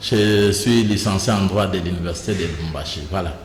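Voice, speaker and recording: A man's fairly low voice comes at a fairly slow pace with fairly even intonation, with audible room echo and noticeable background noise. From DR Congo, Kasai (Mweka). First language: Kuba (Chikuba) (speaking French). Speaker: provincial politician. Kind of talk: interview.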